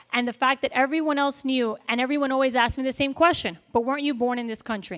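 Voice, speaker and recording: A woman talks at a high pitch. Her pitch varies in an ordinary way. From Miami, Florida (Cuban-American family). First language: Spanish. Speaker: school board member. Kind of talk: speech.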